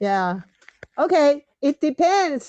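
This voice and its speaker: A woman's dark, mellow voice in a Taiwanese accent, very slow, with very wide pitch swings and a dry, close sound with no echo. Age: 70s. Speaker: reading club leader. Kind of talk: group discussion. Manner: halting.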